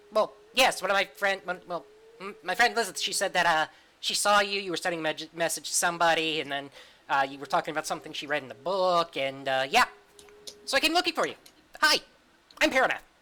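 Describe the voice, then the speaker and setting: A man in a put-on character voice talks at a very fast pace and high pitch, broken by long, frequent pauses. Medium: actual play. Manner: eager, rambling.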